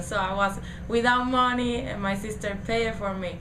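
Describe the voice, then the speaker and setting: Against noticeable background noise and audible room echo, a woman with a Spanish accent speaks at a moderate pace with fairly even intonation. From Puerto Rico. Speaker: community college student. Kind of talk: testimony. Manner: halting.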